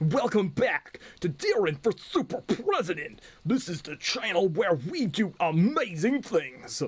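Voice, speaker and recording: Putting on a character voice, a man speaks at a fairly slow pace with a high pitch that swings very widely. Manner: sarcastic, satirical, exaggerated.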